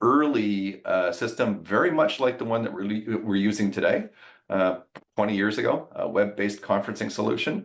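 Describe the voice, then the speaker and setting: A man talks at a moderate pace in an unremarkable speaking voice. His pitch is fairly low, with ordinary pitch variation. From Canada, Ottawa. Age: 60s. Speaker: business executive. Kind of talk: interview.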